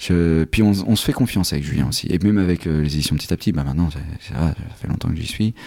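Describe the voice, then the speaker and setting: The speaker races along at a very fast pace with hardly any pauses and ordinary pitch variation. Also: man, very deep, low pitch for a man. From Normandy, France. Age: 30s. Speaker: comic book writer. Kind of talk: interview. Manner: halting.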